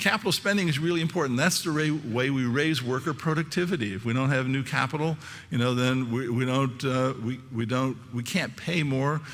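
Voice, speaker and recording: Speaking at a fairly quick pace with hardly any pauses, the voice shows ordinary pitch variation against audible room echo. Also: man, medium pitch for a man. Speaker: economist. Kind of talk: conference talk. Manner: fast.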